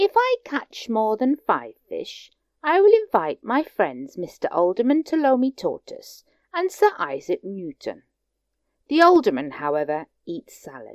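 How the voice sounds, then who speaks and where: A woman performs a put-on character voice. She pitches it high and keeps a moderate pace. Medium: read story. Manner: prim, polite.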